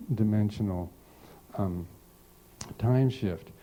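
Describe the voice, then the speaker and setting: With a fairly low pitch and a dark, mellow tone, a man speaks at a fairly slow pace. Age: 60s. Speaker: seminar teacher. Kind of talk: lecture. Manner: halting.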